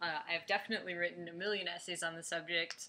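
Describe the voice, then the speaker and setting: A woman with a Chicago accent, a bright, sharp tone and fairly even intonation. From US Midwest, Chicago. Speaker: fan vlogger. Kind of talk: casual video blog. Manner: hesitant, many fillers.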